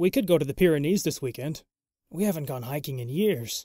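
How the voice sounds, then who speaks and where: A man speaks in a put-on character voice at a fairly high pitch and fairly quick pace. The recording is very clean, with a silent background. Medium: read story. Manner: terse, bitter.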